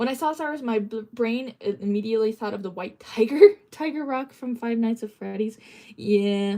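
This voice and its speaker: Someone with an American accent talks at a moderate pace with lively intonation. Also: woman. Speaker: livestreamer. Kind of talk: casual livestream chat. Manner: halting.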